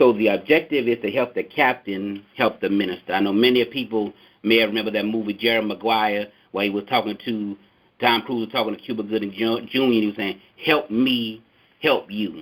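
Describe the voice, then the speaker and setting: With an American accent, a man speaks fairly quickly at a medium pitch. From US South, New Orleans, Louisiana. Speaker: mosque security captain. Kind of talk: lecture on a conference call. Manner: runs words together when excited.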